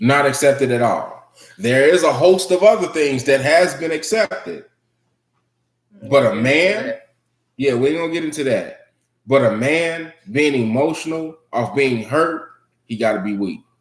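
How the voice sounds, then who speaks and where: A fairly high-pitched man speaks at a moderate pace with lively intonation. He leaves long, frequent pauses. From US Midwest, Chicago. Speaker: live stream host. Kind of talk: casual chat. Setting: live stream. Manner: animated.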